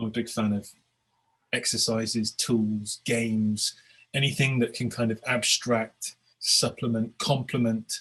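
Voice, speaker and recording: The voice carries a British accent. Its intonation is monotone and flat. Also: man, medium pitch for a man. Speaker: agile coach and author. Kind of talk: webinar presentation. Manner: repetitive, stammering starts.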